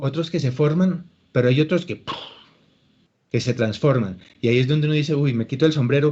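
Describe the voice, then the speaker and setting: A man speaks fairly quickly in a fairly high voice with a dark, mellow tone. He sounds somewhat breathy, and his pitch varies in an ordinary way. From Colombia. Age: 60s. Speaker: actor and acting teacher. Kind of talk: interview.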